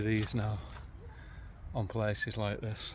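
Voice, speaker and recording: With audible room echo, a man speaks very slowly in a fairly low pitch. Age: 50s. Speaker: local history vlogger. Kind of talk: walking tour vlog. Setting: outdoors, walking in a park. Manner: casual, conversational with fillers.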